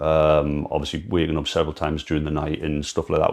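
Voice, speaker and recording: A man speaks with a Geordie accent. His pace is fairly quick. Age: 30s. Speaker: amateur runner and brain cancer patient. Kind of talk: personal testimony vlog. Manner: halting.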